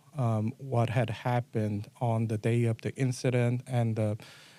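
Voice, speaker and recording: A man with a dark, mellow tone speaks on a very clean recording with a silent background. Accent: Korean. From South Korea. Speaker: assistant district attorney. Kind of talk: interview answer.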